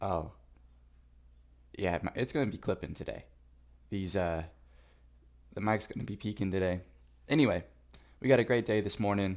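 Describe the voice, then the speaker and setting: The pace is fairly quick, with long, frequent pauses and ordinary pitch variation. The background is quiet. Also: man, fairly low pitch for a man. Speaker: sports podcast host. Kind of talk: casual solo sports show with trivia. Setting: solo recording on camera with headset. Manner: loud; casual, rambling with fillers.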